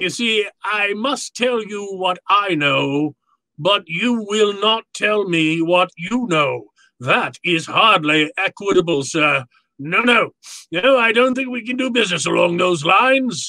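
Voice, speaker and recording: A man puts on a character voice, raised and projected, with a high pitch. He delivers it at a fairly slow pace. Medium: audio drama. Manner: courtly, verbose, chuckling.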